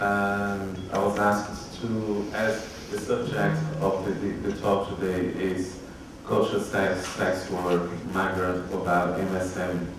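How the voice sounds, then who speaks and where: A man with a very deep, low pitch talks at a very slow pace in a monotone, flat intonation, with audible room echo and noticeable background noise. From Brazil. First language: Portuguese. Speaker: conference speaker. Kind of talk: conference presentation.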